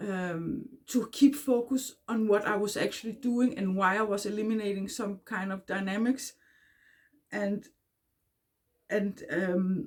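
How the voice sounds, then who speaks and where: A somewhat breathy woman at medium pitch, fairly slow, with long, frequent pauses and ordinary pitch variation. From Denmark. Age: 40s. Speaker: self-help vlogger. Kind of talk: casual talk to camera. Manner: halting, many fillers.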